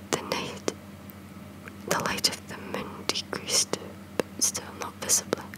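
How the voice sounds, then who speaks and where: Whispering, a woman goes at a fairly slow pace. Noticeable background noise runs behind her. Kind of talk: whispered ASMR storytime reading. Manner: whispered.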